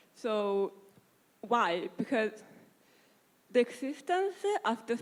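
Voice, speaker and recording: A woman with an Italian accent. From Italy. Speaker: panelist on privacy. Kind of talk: panel discussion.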